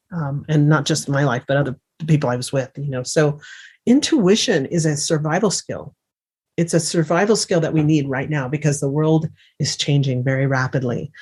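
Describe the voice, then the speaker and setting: Somewhat breathy speech at a moderate pace with ordinary pitch variation. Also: woman, very deep, low pitch for a woman. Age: 60s. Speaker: remote viewing teacher and author. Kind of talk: interview.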